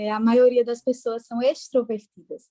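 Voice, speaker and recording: A woman with a Pernambuco accent speaks in a dark, mellow tone at a moderate pace. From Brazil, interior of Pernambuco. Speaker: psychologist. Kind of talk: podcast interview. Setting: podcast recording.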